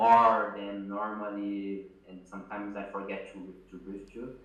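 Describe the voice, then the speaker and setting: Over noticeable background noise and audible room echo, a man with a non-native accent speaks at a fairly low pitch. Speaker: business founder. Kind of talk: interview. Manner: halting.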